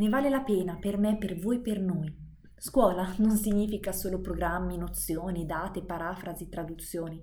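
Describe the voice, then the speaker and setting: There is audible room echo as a woman speaks at a medium pitch and a moderate pace with ordinary pitch variation. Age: 20s. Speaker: podcaster and private tutor. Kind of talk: monologue lesson.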